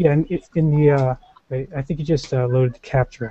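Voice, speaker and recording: A somewhat breathy man's voice, dry with no echo. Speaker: show host. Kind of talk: casual chat. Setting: video call. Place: home room. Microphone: video call.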